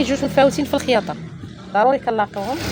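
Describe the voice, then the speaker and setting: Over noticeable background noise, a woman with a Moroccan accent talks at a very fast pace, her fairly high pitch carrying lively intonation. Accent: Moroccan Arabic (Darija). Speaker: sewing tutorial YouTuber. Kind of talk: tutorial.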